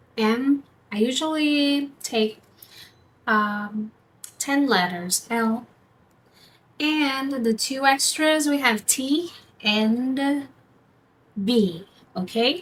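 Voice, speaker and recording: A woman with a non-native accent speaks at a very slow pace. Her voice is high, with lively intonation. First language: not English. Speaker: tarot reader. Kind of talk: tarot reading. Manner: halting; casual.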